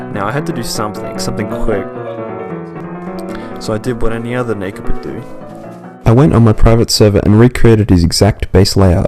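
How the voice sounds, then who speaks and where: Over music in the background, a man at a medium pitch talks at a fairly quick pace with ordinary pitch variation, big swings in loudness and long, frequent pauses. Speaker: gaming video narrator. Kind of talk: documentary-style game story narration.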